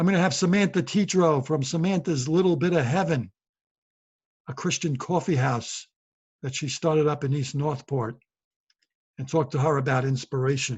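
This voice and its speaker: A man with a New York accent, fairly high in pitch and somewhat breathy, at a moderate pace with ordinary pitch variation and long, frequent pauses. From New York City (Brooklyn). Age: 60s. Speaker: podcast host and comedian. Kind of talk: casual monologue.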